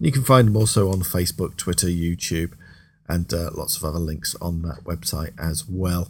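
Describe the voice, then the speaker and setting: A man with a very deep, low voice speaks at a moderate pace in a relaxed, somewhat breathy tone, his pitch varying in an ordinary way. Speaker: radio host. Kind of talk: radio DJ patter introducing tracks. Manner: relaxed, friendly, chatty; upbeat, enthusiastic about the music.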